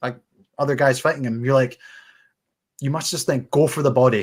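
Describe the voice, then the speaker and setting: The voice is somewhat breathy. It carries a Scottish accent. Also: man. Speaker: boxing podcast host. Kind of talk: casual chat. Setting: live stream.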